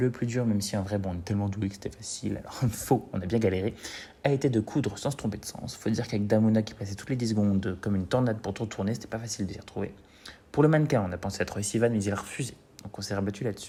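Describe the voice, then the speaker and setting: Very fast and somewhat breathy, a man speaks in a dark, mellow tone at a fairly low pitch with ordinary pitch variation. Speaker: drag queen. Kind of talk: humorous narration.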